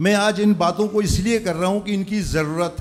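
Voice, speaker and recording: A man talks with fairly even intonation. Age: 60s. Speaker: community elder. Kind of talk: farewell speech. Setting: school event with audience.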